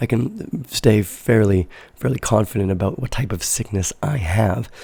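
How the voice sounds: A man with a fairly low pitch speaks at a moderate pace in a dark, mellow tone, raspy with a slightly husky edge and vocal fry, his intonation lively.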